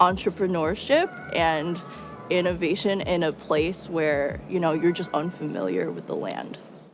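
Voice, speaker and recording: With music in the background, a woman in a New York accent talks at a fairly low pitch with fairly even intonation. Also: moderate pace. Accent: American (New York). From upstate New York, US. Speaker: journalist. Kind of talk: personal interview monologue. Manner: casual, filler-heavy.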